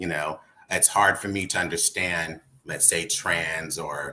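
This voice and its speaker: A man speaks over noticeable background noise. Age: middle-aged. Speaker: panel guest. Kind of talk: panel discussion.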